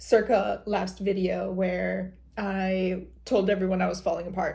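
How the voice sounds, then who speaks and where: A woman speaks with a Michigan accent. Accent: Midwest accent, Michigan. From Michigan, US Midwest. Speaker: lifestyle vlogger. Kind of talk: casual vlog talk. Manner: casual, chatty.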